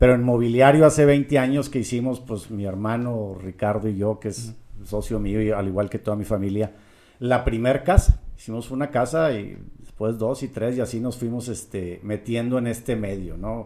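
A man with a dark, mellow tone talks at a moderate pace, medium pitch and ordinary pitch variation. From Mexico, Monterrey. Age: 50s. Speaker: real estate developer. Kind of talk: interview.

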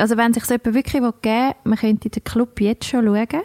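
A woman uses a normal speaking voice with a fairly high pitch and fairly even intonation. She talks at a fairly quick pace, and the sound is dry and close with no echo. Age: 30s. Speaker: podcast co-host. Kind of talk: casual chat.

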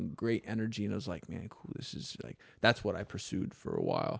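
An ordinary speaking voice: a man with an American accent, fairly low pitch, fairly even intonation and a fairly quick pace. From US South, South Florida (Palm Beach County). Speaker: parkour coach and former poet. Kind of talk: casual interview chat. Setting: studio.

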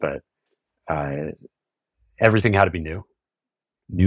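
A fairly quick American accent in a dry, close sound with no echo, on a very clean recording with a silent background. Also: man. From US Pacific Northwest, Tacoma area. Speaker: mixed climber and climbing gym owner. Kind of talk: casual chat.

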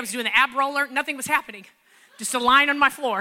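Very fast and animated, a woman speaks in a raised, projected voice at a high pitch, with a bright, sharp tone and ordinary pitch variation. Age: 40s. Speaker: pastor. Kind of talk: sermon.

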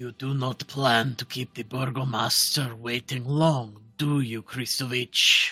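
A man puts on a gruff character voice at medium pitch, speaking at a fairly slow pace with hardly any pauses while music plays in the background. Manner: shouting across a market.

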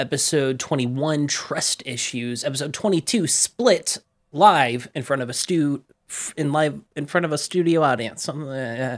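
In an animated tone, a man talks at a moderate pace and a fairly high pitch with ordinary pitch variation, captured on a very clean recording with a silent background. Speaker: tabletop RPG podcaster and player. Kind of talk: casual chat. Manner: animated, jokey.

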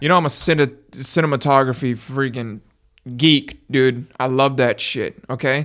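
In a very clean recording with a silent background, a man with a plain, everyday voice and an American accent talks at a moderate pace with fairly even intonation. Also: medium pitch for a man. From Miami, Florida. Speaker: podcast guest, gamer and musician. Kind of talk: casual banter, joking.

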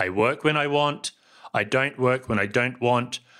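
At a moderate pace, a man with a New Zealand accent speaks in a bright, sharp tone, in a very clean recording with a silent background. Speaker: podcast host and software founder. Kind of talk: talk to students, solo presentation. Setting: lecture to students, recorded talk.

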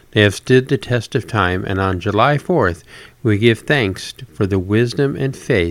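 The text is read aloud in a natural voice.

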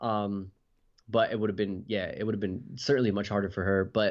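A man with a fairly low pitch and a New Jersey accent. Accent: New Jersey American. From New Jersey, US (Puerto Rican parents). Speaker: pastor. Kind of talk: interview. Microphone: unstable internet connection.

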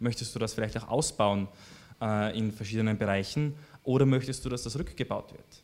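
With long, frequent pauses, a man talks at a fairly quick pace and a medium pitch. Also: ordinary pitch variation, big swings in loudness. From Austria, Styria (Graz). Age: 30s. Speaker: political candidate. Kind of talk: interview. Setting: studio. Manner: hesitant, many fillers.

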